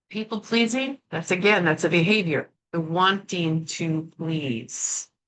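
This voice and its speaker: An unremarkable speaking voice from a woman, fairly low-pitched, with lively intonation and a fairly slow pace. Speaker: emotional healing teacher. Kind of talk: workshop teaching.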